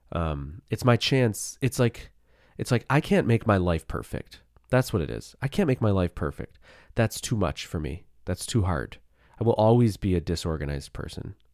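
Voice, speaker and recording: A man's fairly low voice with vocal fry and very wide pitch swings, at a moderate pace, in a dry, close sound with no echo and a very clean recording over a silent background. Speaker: podcast host. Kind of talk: casual solo monologue. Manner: rambling, casual.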